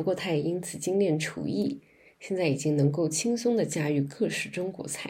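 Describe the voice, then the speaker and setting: A woman speaks at a moderate pace with a fairly low pitch and ordinary pitch variation. Her tone is dark and mellow, with vocal fry. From China, Guangzhou. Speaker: podcast host. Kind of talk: interview; scripted narration.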